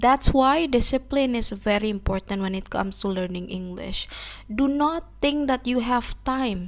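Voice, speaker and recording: A woman with an Indonesian accent, fairly high in pitch, with lively intonation at a moderate pace. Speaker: English-learning YouTuber. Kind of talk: motivational talk to camera.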